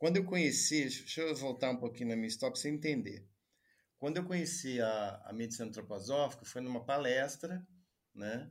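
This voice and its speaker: A man with an unremarkable speaking voice holds a medium pitch, ordinary pitch variation and a moderate pace. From Juiz de Fora, Minas Gerais, Brazil. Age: 40s. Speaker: doctor and teacher. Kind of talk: interview conversation.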